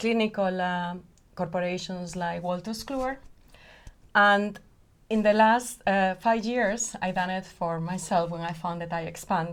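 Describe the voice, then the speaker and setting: A woman with a Spanish accent at a medium pitch, with fairly even intonation and a fairly slow pace. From Spain. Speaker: company founder and CEO. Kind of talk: podcast interview.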